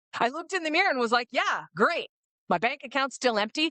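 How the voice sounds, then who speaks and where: Her high voice swinging very widely in pitch, a woman speaks in an energetic, animated tone. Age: 50s. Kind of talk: casual interview chat.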